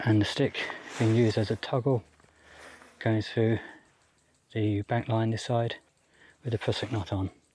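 A man speaks at a medium pitch and moderate pace. His intonation is monotone and flat, broken by long, frequent pauses. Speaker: outdoors YouTuber. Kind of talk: gear review tutorial. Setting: outdoors.

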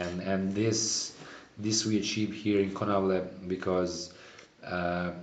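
A man's very deep, low voice in a monotone, flat intonation at a very slow pace, with audible room echo and light background noise. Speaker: winemaker host. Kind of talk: interview answer. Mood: calm, explanatory.

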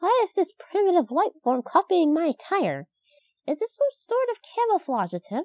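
A cartoonish character voice pitched extremely high. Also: moderate pace. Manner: formal, stiff, matter-of-fact.

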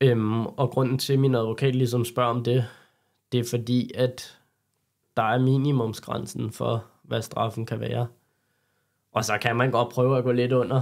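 On a very clean recording with a silent background, a man speaks fairly slowly at medium pitch in a monotone, flat way, with long, frequent pauses. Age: 20s. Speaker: carpentry apprentice, car enthusiast. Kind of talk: interview.

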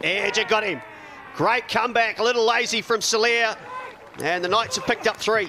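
Over noticeable background noise, a man with a high pitch speaks at a fairly quick pace in a raised, projected voice with ordinary pitch variation. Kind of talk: sports commentary highlights. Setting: cricket ground commentary. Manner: fast, clipped play-by-play delivery; rising excitement at wickets and the tense finish.

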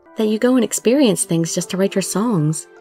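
Music plays in the background as a woman speaks at a moderate pace. Her pitch swings very widely. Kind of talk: dramatic story reading.

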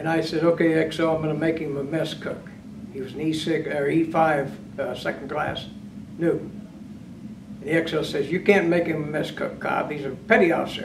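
Over noticeable background noise, a man with a fairly high pitch speaks at a moderate pace with fairly even intonation. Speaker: retired navy submariner, master chief. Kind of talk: oral history interview. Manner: halting. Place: meeting room.

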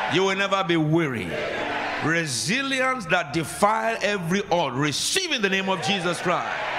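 Over noticeable background noise, a man with a Nigerian accent talks at a moderate pace in a high pitch with an animated tone. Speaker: preacher. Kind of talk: sermon. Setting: church. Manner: animated, commanding, call-and-response with the congregation. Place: church. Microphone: handheld.

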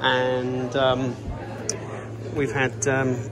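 Male voice over music in the background. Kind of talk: casual vlog chat. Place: shop. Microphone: phone near.

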